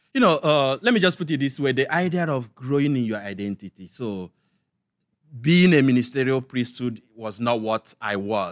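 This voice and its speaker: With a Nigerian accent, a man speaks at a moderate pace in a medium pitch, his intonation lively. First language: Igbo. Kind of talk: casual interview.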